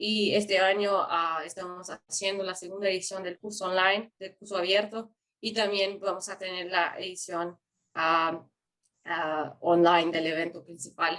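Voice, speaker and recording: A woman with a Portuguese accent speaks at a fairly slow pace with a bright, sharp tone and monotone, flat intonation. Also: medium pitch for a woman. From Brazil. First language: Portuguese (speaking Spanish). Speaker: youth forum organizer. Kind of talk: webinar presentation. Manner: halting.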